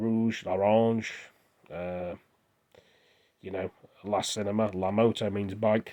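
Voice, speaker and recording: A man with a dark, mellow tone speaks at a fairly low pitch in a monotone, flat intonation. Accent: English. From England. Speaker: vlogger. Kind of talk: casual monologue. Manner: rambling, hesitant.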